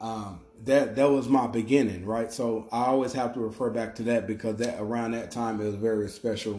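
A man speaks fairly quickly with hardly any pauses, medium in pitch and dark and mellow in tone. His intonation is monotone and flat, with audible room echo. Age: 30s. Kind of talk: faith-based motivational monologue. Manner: casual with frequent repetitions and fillers.

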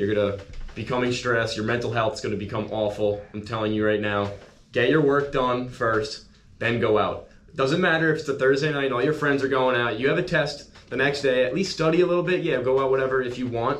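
A man talks at a medium pitch with ordinary variation. The room adds audible echo. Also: fairly quick pace. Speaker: college student social media account runner. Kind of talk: casual chat.

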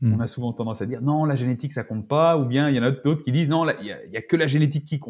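Here a man talks at a very fast pace. His medium-pitched voice is somewhat breathy. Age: 40s. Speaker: naturopath and Brazilian jiu-jitsu athlete. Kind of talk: casual interview chat. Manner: halting, many fillers and repetitions.

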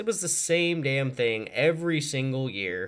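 At a moderate pace, a man with a fairly high pitch speaks in an animated tone. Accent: Midwestern American. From small-town Missouri. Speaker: podcast host. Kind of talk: casual monologue.

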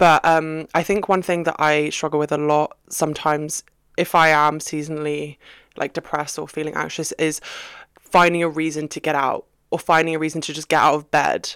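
A woman with a British accent speaks at a fairly quick pace in a very deep, low voice and a flat monotone. The sound is dry and close with no echo, and the recording is very clean over a silent background. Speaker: podcast co-host. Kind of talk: pep talk. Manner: warm, reassuring, conversational.

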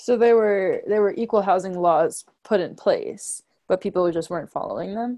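Delivered at a moderate pace, an unremarkable speaking voice with an American accent shows ordinary pitch variation. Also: woman, medium pitch for a woman, quiet background. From New York. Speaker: student interviewer. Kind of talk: oral history interview.

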